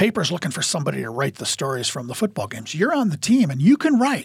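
A somewhat breathy man's voice with very wide pitch swings at a fairly quick pace. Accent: Upper Midwest. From Iowa, small town. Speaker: high school sports media specialist. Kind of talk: casual chat.

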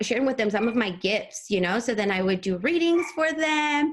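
A woman speaks with a Spanish accent. Her pitch swings very widely. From Mexico City. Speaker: energy healer and sound therapist. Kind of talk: casual interview.

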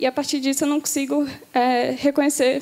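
A woman talks at a high pitch. Noticeable background noise runs behind her. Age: 18. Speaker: baptism candidate. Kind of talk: testimony. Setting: church.

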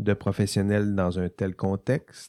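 Someone talks at a very slow pace in a Quebec accent with a dark, mellow tone. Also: man, dry, close sound with no echo, very clean recording, silent background. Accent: Québécois French. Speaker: university lecturer. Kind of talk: lecture. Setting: studio. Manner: halting, with frequent repetitions.

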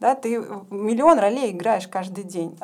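An unremarkable speaking voice from a woman, medium in pitch, at a moderate pace with ordinary pitch variation. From Ukraine. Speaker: rabbinical student, community leader. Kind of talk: podcast interview. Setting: studio.

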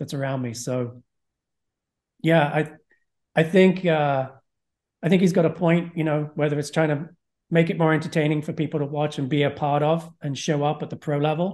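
A man with an American accent speaks at a moderate pace and a fairly high pitch, his intonation fairly even. Long, frequent pauses break up his speech over a quiet background. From England. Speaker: tennis gear reviewer and content director. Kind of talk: casual interview. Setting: video call.

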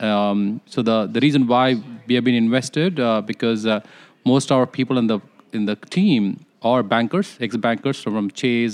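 A man at medium pitch and a moderate pace, dry and close with no echo. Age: young. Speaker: fintech executive. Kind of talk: interview. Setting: at a conference. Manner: halting, many fillers.

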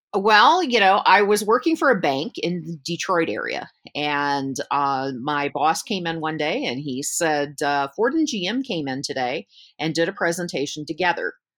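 A woman with an unremarkable speaking voice talks at a fairly low pitch with lively intonation and an American accent. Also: moderate pace. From US South, Georgia, with Michigan upbringing. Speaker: research consultant. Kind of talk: interview. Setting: video call.

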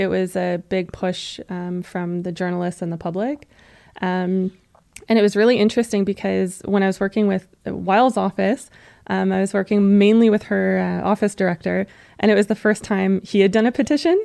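A dark, mellow tone at a fairly slow pace, with fairly even intonation, a dry, close sound with no echo and a quiet background. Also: woman, medium pitch for a woman. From western Canada, Alberta. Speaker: veterinary technician and animal welfare campaigner. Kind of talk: interview.

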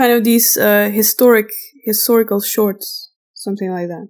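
At a moderate pace, a woman talks in a medium pitch with a slightly mellow tone and fairly even intonation.

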